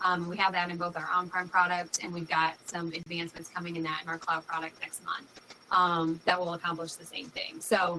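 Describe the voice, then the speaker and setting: Noticeable background noise sits behind this recording. A woman with a fairly low pitch speaks at a fairly quick pace in an American accent. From New York. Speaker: company executive. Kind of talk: interview. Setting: live video stream. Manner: fast.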